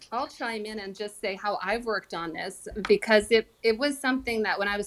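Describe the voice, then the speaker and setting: A woman with a Canadian accent speaks at a moderate pace in a normal speaking voice, her pitch medium. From Canada. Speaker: former speech professor. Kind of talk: panel discussion.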